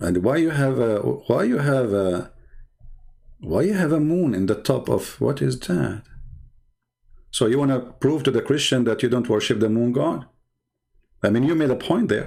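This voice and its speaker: In a very clean recording with a silent background, a man with a dark, mellow tone speaks at medium pitch and a moderate pace, his intonation lively and his loudness very even, with long, frequent pauses. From Middle East. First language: Arabic. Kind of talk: commentary on video clips.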